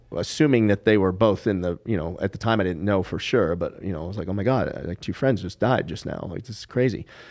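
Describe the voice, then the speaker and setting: An unremarkable speaking voice from a man, fairly low in pitch with ordinary pitch variation, against a quiet background. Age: 50s. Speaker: comedian and poker player. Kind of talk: casual chat.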